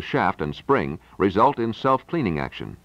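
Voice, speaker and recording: A man speaks at a moderate pace with vocal fry, his fairly low voice recorded dry with no echo. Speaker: demo tape narrator. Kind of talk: scripted narration. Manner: formal, polished, authoritative sales-pitch delivery; steady, measured pacing like a slide-show voiceover. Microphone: old recording.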